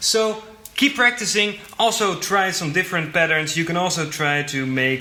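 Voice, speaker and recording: A man with a fairly high voice talks at a moderate pace. Room echo can be heard, along with noticeable background noise. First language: not English. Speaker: drum teacher. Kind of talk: tutorial.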